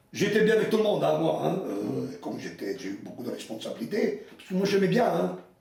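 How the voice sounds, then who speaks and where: Loudness swings widely at a fairly quick pace, with noticeable background noise and audible room echo. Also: man, hardly any pauses. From Italy. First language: Italian (speaking French). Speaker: retired mine foreman. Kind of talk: interview testimony.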